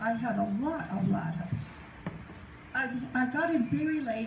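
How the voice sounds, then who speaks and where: There is noticeable background noise and audible room echo. A woman with an American accent speaks at a fairly high pitch, her voice swinging very widely up and down. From US South. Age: 80s+. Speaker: retired judge and former political candidate. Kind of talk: informal talk to a group.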